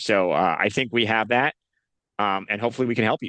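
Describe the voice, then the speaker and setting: A man with a Northeastern US accent, medium pitch, ordinary pitch variation and a fairly quick pace. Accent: Northeast US. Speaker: nonprofit association host. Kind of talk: video call interview.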